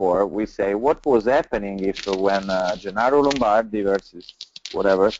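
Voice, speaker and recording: A man speaks with an Italian accent at a fairly low pitch. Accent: Italian accent, non-native English. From Italy. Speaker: pizza chef and restaurant owner. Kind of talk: webinar panel talk. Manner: halting, many fillers.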